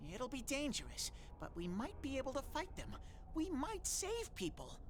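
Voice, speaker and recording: A high-pitched, put-on character voice comes through over clear background noise. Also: moderate pace. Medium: video game. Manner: earnest, naive.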